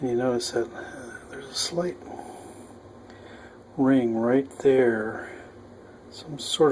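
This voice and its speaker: Noticeable background noise sits behind a man speaking at a fairly slow pace and medium pitch. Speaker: homebrewer. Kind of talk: casual how-to demonstration. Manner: hesitant, many filler sounds.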